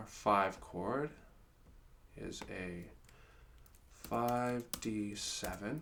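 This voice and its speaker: With audible room echo, a man with a fairly low pitch speaks at a very slow pace, leaving long, frequent pauses. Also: ordinary pitch variation. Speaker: guitar teacher. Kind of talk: tutorial.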